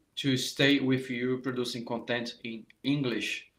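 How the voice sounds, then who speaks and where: A man with a Brazilian accent at a fairly slow pace, with ordinary pitch variation. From Brazil, Rio de Janeiro. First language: Portuguese. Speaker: saxophone teacher. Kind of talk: live online masterclass. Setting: live stream. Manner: halting, many fillers and restarts.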